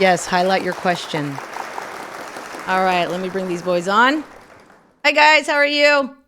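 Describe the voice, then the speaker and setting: Over crowd noise in the background, a woman speaks fairly slowly at medium pitch with long, frequent pauses. Her tone is animated, and her pitch swings very widely. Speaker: live stream host. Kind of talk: live stream chat. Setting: live stream.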